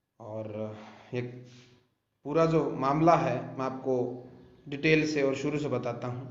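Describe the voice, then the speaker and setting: A man with a Rajasthani accent speaks at a medium pitch with fairly even intonation and long, frequent pauses, with audible room echo. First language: Bagri (speaking Hindi). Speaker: YouTuber and film director. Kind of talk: true crime storytelling on a live video.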